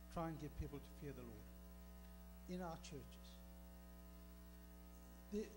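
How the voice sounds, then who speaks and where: Noticeable noise fills the background. Over it, a man talks at a moderate speed. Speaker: speaker. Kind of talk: sermon. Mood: earnest personal testimony. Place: church. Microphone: handheld.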